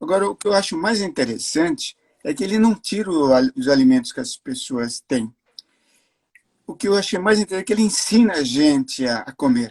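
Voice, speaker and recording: The voice swings very widely in pitch, with a dry, close sound and no echo. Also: man, high pitch for a man. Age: 70s. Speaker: cancer survivor, host's father. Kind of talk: casual interview. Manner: halting.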